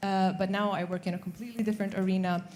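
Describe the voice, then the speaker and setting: A woman's dark, mellow voice in a monotone, flat delivery. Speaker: sustainable investment banker. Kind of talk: panel discussion. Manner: loud.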